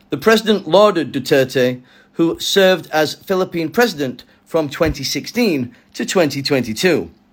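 A man's fairly high, unremarkable speaking voice at a fairly slow pace, on a very clean recording with a silent background. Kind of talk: news reading. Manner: formal, steady newsreader delivery; measured, even-paced.

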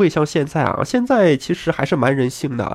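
The delivery is at a moderate pace. The intonation is lively. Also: man. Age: 30s. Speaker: gaming podcaster. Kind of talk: casual monologue. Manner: animated.

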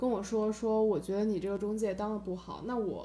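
A woman speaks at a fairly quick pace in a fairly high voice, with noticeable background noise. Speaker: rental agent and student. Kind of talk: casual chat.

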